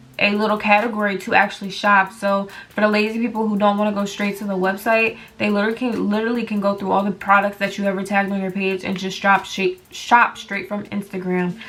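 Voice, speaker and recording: A woman with a medium pitch talks very fast in a monotone, flat intonation. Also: hardly any pauses. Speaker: business vlogger. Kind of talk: tutorial. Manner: casual, filler-heavy.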